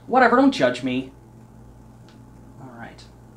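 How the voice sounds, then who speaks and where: The speaker keeps a moderate pace while noticeable background noise runs underneath. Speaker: painting instructor. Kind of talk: tutorial. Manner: casual, chatty.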